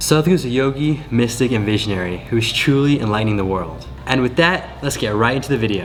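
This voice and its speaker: A man with an American accent talks at a very fast pace and medium pitch, with hardly any pauses and ordinary pitch variation. Music plays in the background, and room echo is audible. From United States. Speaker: meditation coach. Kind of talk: reaction video.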